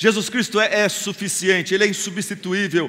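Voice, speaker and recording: The voice is raised and projected, delivered at a moderate pace. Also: man. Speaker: pastor. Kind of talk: sermon. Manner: animated.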